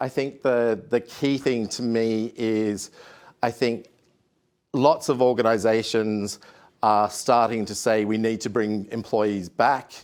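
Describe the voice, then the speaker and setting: Very slowly and in a monotone, flat intonation, a man with an Australian accent speaks at a medium pitch, in a very clean recording with a silent background. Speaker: HR consultant, industry expert panelist. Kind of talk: conference talk. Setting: studio with live audience. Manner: hesitant, many fillers.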